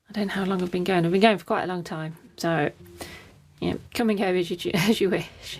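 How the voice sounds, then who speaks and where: The voice mumbles in a somewhat breathy way with fairly even intonation. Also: woman. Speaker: watercolour artist. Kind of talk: live painting stream, casual narration. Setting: live stream. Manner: mumbling, chatty.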